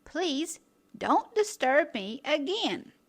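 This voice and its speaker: A woman does a put-on character voice, high-pitched and squeaky. Her tone stays calm. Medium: read story. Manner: calm, patient.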